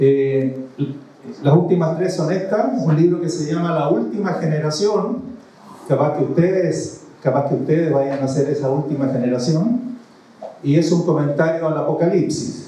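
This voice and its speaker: A man with a fairly high pitch speaks at a fairly slow pace with ordinary pitch variation. Noticeable background noise and audible room echo are present. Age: 60s. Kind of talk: sermon to youth gathering.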